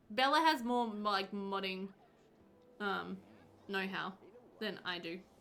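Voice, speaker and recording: In a room with audible echo, a medium-pitched woman speaks at a fairly slow pace with long, frequent pauses, ordinary pitch variation and big swings in loudness. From Australia, New South Wales. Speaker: video game streamer. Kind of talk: casual live-stream chat while gaming.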